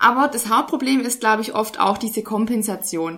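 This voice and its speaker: Against noticeable background noise, a woman speaks at a moderate pace. Her pitch is fairly high, with ordinary variation. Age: 20s. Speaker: nutrition scientist. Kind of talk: interview.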